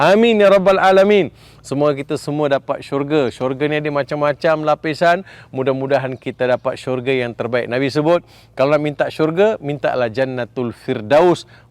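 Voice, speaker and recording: A fairly high-pitched man at a fairly quick pace, with ordinary pitch variation and a dry, close sound with no echo. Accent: Malaysian. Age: 60s. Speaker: Islamic preacher. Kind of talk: sermon.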